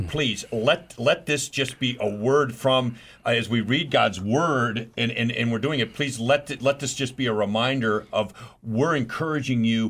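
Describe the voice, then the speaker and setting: The man has a normal speaking voice with a medium pitch. His pace is moderate, and his pitch variation is ordinary. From New York City. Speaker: radio host.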